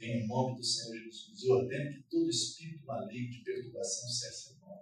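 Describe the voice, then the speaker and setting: The delivery moves at a fairly quick pace with big swings in loudness. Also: man. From Rio de Janeiro, Brazil. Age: 60s. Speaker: preacher. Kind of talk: sermon.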